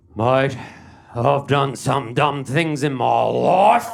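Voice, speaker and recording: A man with a medium pitch uses a raspy, put-on character voice and speaks at a very slow pace. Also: ordinary pitch variation. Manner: disappointed, stern.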